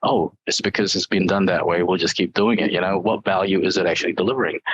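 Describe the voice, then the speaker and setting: The speaker is a man. He talks in a New Zealand accent. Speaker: IT executive. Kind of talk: interview. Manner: hesitant, many fillers.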